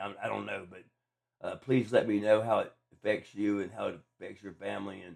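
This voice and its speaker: A fairly low-pitched man at a fairly quick pace, monotone with flat intonation. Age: 50s. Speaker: podcast host with brain cancer. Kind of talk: casual monologue. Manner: slurred speech from medication at times; halting, many fillers and repeats.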